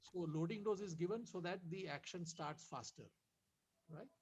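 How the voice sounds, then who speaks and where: Soft-spoken, a man talks with ordinary pitch variation. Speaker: doctor. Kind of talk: medical talk in webinar. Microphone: too quiet.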